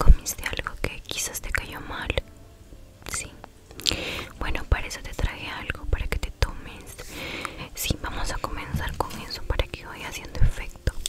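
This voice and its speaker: A woman is whispering at a fairly slow pace. Her speech has long, frequent pauses. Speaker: ASMR creator. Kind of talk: ASMR role-play, soft whisper. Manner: soft, hushed ASMR voice close to mic. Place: home room. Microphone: studio mic.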